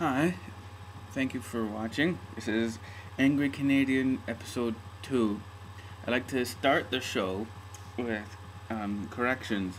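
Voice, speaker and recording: Here a man speaks at a fairly slow pace. His pitch is medium, with ordinary pitch variation. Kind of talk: casual talk to camera. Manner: hesitant, rambling.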